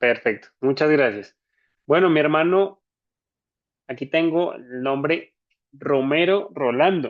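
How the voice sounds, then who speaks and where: At a very slow pace, a man with a fairly high pitch uses ordinary pitch variation and takes long, frequent pauses. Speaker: church trainer. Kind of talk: online training session. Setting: video call.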